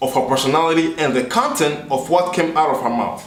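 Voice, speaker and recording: A man with an African accent speaks at a fairly high pitch. His pace is moderate, and there is audible room echo. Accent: African accent, kept. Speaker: video blogger. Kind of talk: commentary video monologue.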